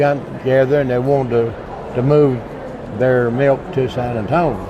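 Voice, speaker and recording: A man with a Texas accent at a medium pitch and fairly slow pace, with audible room echo and noticeable background noise. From Texas, west and central (San Angelo, Blum). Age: 70s. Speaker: trucking veteran. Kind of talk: interview. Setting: trade show floor. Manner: halting, many fillers.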